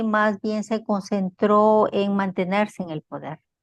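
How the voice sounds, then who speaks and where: A woman with a medium pitch speaks very slowly, the sound dry and close with no echo over a quiet background. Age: 60s. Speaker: interviewee. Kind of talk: interview. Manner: hesitant, many fillers.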